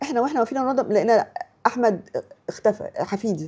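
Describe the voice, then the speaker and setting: A woman talks at a fairly quick pace in a dark, mellow tone, her pitch swinging very widely. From Egypt. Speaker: writer. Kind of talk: interview storytelling. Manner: halting, repeats syllables.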